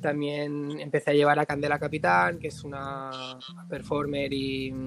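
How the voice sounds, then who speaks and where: This man's pitch is fairly high. He talks at a fairly slow pace with ordinary pitch variation. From Spain, Barcelona. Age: 20s. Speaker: artist manager. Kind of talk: casual interview. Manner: halting, many repetitions.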